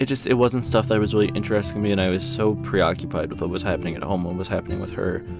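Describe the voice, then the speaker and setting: A soft-spoken man talks at a very fast pace in a very deep, low voice with lively intonation. Music plays in the background. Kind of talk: personal audio journal about grief, soft-spoken. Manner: soft-spoken, quiet, somber.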